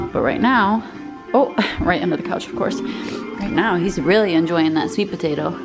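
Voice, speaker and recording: Clear music plays in the background while the speaker talks at a moderate pace. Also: woman. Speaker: pet owner vlogger. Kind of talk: casual vlog chat. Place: home room. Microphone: phone near.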